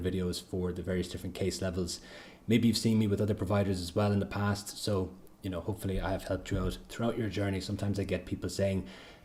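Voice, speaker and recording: A man's very deep, low voice, dark and mellow in tone and somewhat breathy, at a very fast pace with monotone, flat intonation and audible room echo. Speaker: accountancy exam tutor. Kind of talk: livestream lecture.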